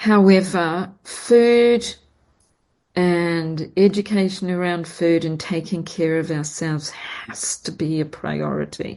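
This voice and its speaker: A woman speaks at a very slow pace in a dark, mellow tone. Her intonation stays fairly even. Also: fairly low pitch for a woman. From New Zealand. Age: 60s. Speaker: podcast host, perfumer and astrologer. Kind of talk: casual chat.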